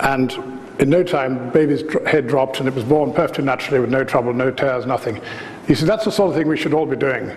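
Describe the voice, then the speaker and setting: Very fast speech with ordinary pitch variation, audible room echo and noticeable background noise. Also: man, fairly high pitch for a man. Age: 60s. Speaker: osteopath. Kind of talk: lecture. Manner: animated.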